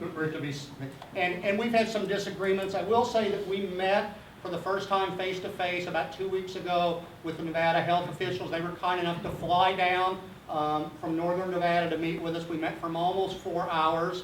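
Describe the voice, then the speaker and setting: A man's high-pitched voice at a fairly quick pace, with noticeable background noise and audible room echo. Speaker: geology professor. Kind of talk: public lecture. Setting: community meeting hall with audience. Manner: animated.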